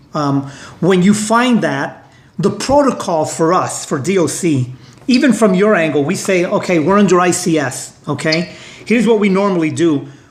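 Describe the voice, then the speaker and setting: With a Brooklyn accent, a man with a high pitch talks at a moderate pace with lively intonation, amid audible room echo and noticeable background noise. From New York (Brooklyn). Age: 60s. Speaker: union leader. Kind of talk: interview discussion.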